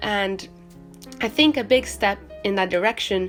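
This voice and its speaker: A woman with a medium pitch speaks at a fairly slow pace in a relaxed tone, with music playing in the background. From Portugal. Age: young. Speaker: art student, artist. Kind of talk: casual talk to camera while painting. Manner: relaxed, hesitant, many fillers.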